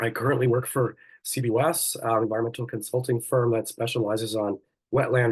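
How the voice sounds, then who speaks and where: A man speaks with a Canadian accent at a moderate pace. His medium-pitched voice is somewhat breathy. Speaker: botanist and plant ecologist. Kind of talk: webinar presentation.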